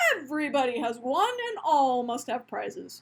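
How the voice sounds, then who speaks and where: A woman's put-on character voice, high-pitched, with lively intonation and a moderate pace. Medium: read story. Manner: grave, formal.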